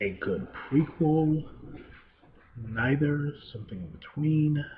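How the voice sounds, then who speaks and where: Quiet and somewhat breathy, a man speaks at a very slow pace. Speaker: movie reviewer. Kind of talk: solo video review. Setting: home, late at night.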